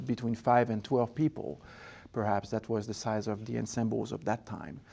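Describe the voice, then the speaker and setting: On a very clean recording with a silent background, a man with a French-Canadian accent speaks at moderate pace and medium pitch, with vocal fry, a dark, mellow tone and ordinary pitch variation. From Quebec, Montreal. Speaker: orchestra conductor and founder. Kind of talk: interview. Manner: halting, with many fillers.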